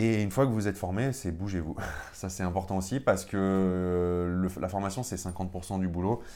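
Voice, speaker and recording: This man's pitch is very deep and low, his tone dark and mellow. His intonation stays fairly even. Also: moderate pace. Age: 30s. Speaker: real estate investor. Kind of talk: interview.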